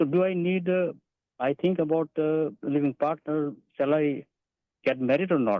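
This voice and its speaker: At a moderate pace with long, frequent pauses, the voice keeps a very even loudness and ordinary pitch variation. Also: man, fairly high pitch for a man. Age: 60s. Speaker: caller, caregiver. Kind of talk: phone call-in question. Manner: halting, hesitant.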